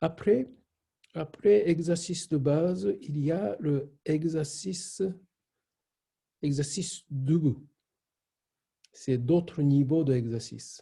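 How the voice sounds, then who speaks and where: A man with a Japanese accent speaks very slowly, with long, frequent pauses. His fairly high, somewhat breathy voice has a dark, mellow tone and ordinary pitch variation. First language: Japanese (speaking French). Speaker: shiatsu teacher. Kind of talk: online class. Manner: halting.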